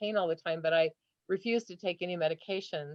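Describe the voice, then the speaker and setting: A woman's fairly low voice at a moderate pace. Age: 60s. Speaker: audience member with chronic illness. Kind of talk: live Q&A question. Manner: animated.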